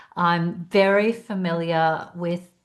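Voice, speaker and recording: A woman speaks with an Australian accent in a fairly low voice. The background is quiet. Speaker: executive coach and speaker. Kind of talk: webinar presentation.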